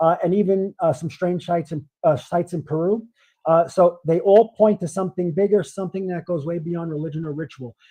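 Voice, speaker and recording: With a Brooklyn accent, a man speaks at a fairly quick pace in a high voice with fairly even intonation. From US Northeast, Brooklyn, New York. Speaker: livestream co-host. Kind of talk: casual chat. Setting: livestream. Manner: halting.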